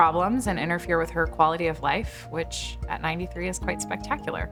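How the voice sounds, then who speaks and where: Music in the background behind a woman talking at a fairly quick pace. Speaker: breast cancer doctor. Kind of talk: interview answer.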